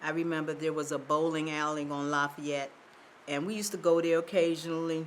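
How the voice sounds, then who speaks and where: A woman speaks in a very deep, low voice at a fairly quick pace, her intonation flat and monotone, with audible room echo. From Baltimore, Maryland. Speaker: oral history interviewee. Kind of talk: oral history interview. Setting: theater.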